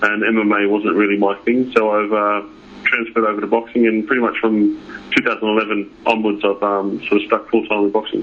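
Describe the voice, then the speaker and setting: A man with an Australian accent speaks at a fairly quick clip in a fairly low voice, his loudness very even. His intonation stays flat and monotone over noticeable background noise. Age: 30s. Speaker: professional boxer. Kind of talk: interview. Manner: halting.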